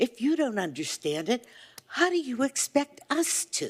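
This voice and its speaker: At a fairly slow pace, a woman speaks in a high-pitched voice. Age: 80s+. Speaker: resident speaking at public comment. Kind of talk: public comment. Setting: city council meeting.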